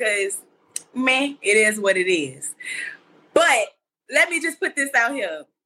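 A woman uses a raised, projected voice with a bright, sharp tone. She moves at a moderate pace with very wide pitch swings. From Mississippi. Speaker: podcast panelist. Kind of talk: casual chat. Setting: video call.

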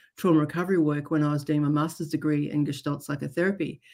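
Talking very fast, a woman speaks in an Australian accent. Her pitch is very deep and low. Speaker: trauma therapist. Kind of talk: interview. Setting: remote call.

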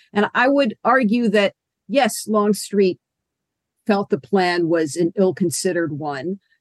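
A woman with an ordinary speaking voice talks fairly slowly at a medium pitch with lively intonation, the sound dry and close with no echo. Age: 50s. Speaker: history professor. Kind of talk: interview.

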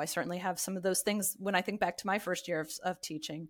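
A woman with an American accent and a plain, everyday voice speaks at a medium pitch with ordinary pitch variation. The recording is very clean, with a silent background. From US East Coast. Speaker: literacy education professor and author. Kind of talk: interview.

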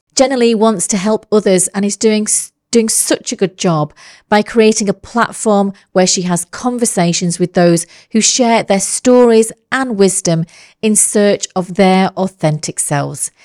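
An unremarkable speaking voice from a woman comes at a fairly slow pace and medium pitch with ordinary pitch variation, the sound dry and close with no echo in a very clean recording with a silent background. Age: 50s. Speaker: podcast host. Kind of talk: interview.

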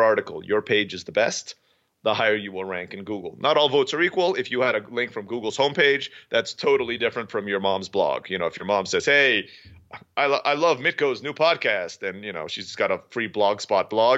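The intonation rises and falls in a lively way, and the words come fairly quickly. Otherwise, it's an unremarkable speaking voice. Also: man. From Middle East, half Filipino half American. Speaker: online language school founder. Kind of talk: interview.

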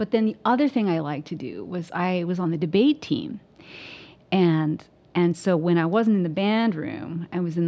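In an American accent, a woman with an unremarkable speaking voice talks at a moderate pace. Her pitch is fairly low and her intonation lively. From Southern Oregon, US. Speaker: percussionist and music professor. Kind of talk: casual interview chat. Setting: at her home.

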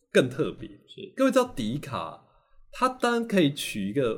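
Very clean with a silent background, this recording has a man with a fairly high pitch and vocal fry, speaking at a moderate pace with very wide pitch swings. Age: 40s. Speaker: university professor of Chinese literature. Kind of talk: casual interview. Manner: animated, repetitive fillers.

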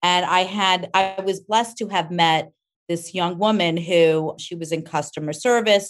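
In an American accent, a woman with a fairly low pitch talks at a fairly slow pace in an ordinary speaking voice, her intonation fairly even. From New York, Rockland County. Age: 50s. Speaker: cosmetics company founder. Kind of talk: interview.

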